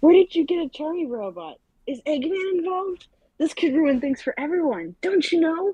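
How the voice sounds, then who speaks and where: A put-on character voice with a high pitch is delivered at a moderate pace. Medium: read story.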